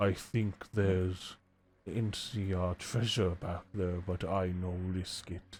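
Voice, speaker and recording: In a very deep, low pitch, a man does a put-on character voice with a gentle tone at a fairly slow pace. The recording is very clean, with a silent background. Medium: actual play. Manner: broken simple English, slow and gentle.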